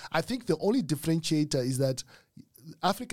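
Somewhat breathy, a man's fairly high voice comes at a fairly quick pace in a very clean recording with a silent background. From Zimbabwe, Mutare. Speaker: business consultant and author. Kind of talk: casual interview. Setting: studio.

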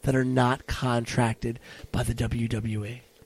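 A man's voice in an animated tone. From Puerto Rican heritage, US. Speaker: wrestling commentator and podcast co-host. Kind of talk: casual chat.

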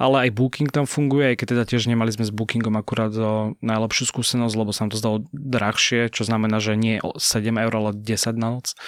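A man speaks at a medium pitch in a monotone, flat way, moving at a fairly quick pace with hardly any pauses over noticeable background noise. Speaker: journalist. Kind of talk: casual chat. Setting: studio.

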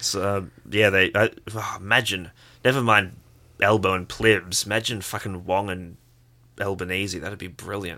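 In an Australian accent, a man with a fairly low pitch and a bright, sharp tone speaks at a moderate pace in a monotone, flat intonation. His loudness swings widely, long, frequent pauses break up his speech, and the recording is very clean with a silent background. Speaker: podcast co-host. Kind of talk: casual political discussion.

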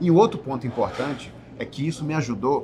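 There is noticeable background noise as a man speaks. His pitch is fairly high, with ordinary variation. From Belém do Pará, Brazil. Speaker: podcast co-host, entrepreneur. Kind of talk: casual chat.

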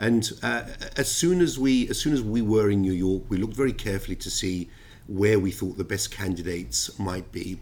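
In a London accent, a man speaks at a fairly low pitch. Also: lively intonation, moderate pace. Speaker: ship finance lawyer. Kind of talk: interview.

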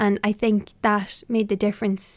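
A woman with an Irish accent, medium pitch and monotone, flat intonation at a moderate pace, on a very clean recording with a silent background. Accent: Irish (Louth). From Ireland, Dundalk, County Louth. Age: young. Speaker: traditional fiddle player. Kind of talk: interview. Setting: small office in a hotel.

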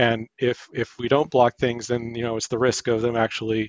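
Speaking at a moderate pace, a man uses an ordinary speaking voice at a medium pitch. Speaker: caller. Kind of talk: call-in question. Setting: phone call.

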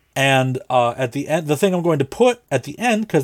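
A man talks at a fairly quick pace in an unremarkable speaking voice, his pitch fairly high and his intonation lively. The sound is dry and close, with no echo. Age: 30s. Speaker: podcast producer and co-host. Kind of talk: casual chat. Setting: video call.

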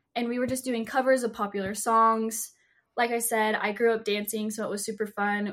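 This woman has a normal speaking voice with an American accent. She talks at a moderate pace with a fairly high pitch. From Utah. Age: 20s. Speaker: social media influencer. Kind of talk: casual interview chat.

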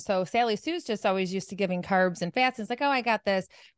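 A woman speaks with a fairly high pitch and ordinary pitch variation. The sound is dry and close with no echo over a quiet background. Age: 50s. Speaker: nutrition and mindset coach. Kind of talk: podcast interview.

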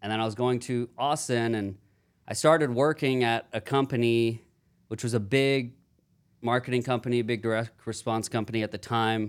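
A man uses a plain, everyday voice with an American accent and a medium pitch. His intonation is fairly even, and his pace is moderate. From Houston, Texas. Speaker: call center business owner. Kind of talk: casual interview. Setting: studio.

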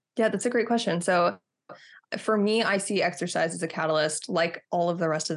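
Against a quiet background, a woman with an American accent speaks fairly quickly. Her pitch is fairly low. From Texas. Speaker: health and fitness coach. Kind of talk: interview.

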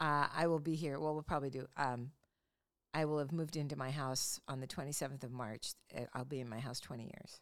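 A woman with an American accent and a very deep, low pitch speaks at a fairly quick pace with fairly even intonation. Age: 70s. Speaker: podcast host. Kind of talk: casual chat.

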